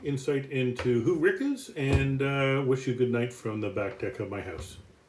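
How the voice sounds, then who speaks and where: Speaking with a Canadian accent at a moderate pace, a man with a medium pitch is heard over noticeable background noise. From Canada, Toronto area. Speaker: business executive. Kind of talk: self-introduction presentation. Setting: outdoors on home deck.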